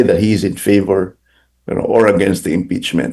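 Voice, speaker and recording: Dark, mellow tone from a male speaker. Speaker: political analyst. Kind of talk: interview. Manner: halting, with repetitions and fillers.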